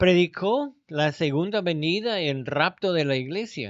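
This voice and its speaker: Very slowly, a man talks with a high voice and lively intonation. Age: 70s. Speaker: Bible teacher. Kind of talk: lecture.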